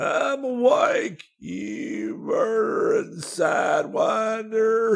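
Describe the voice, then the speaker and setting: In a wheezy, put-on character voice, a man talks at a very slow pace with hardly any pauses. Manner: wheezing.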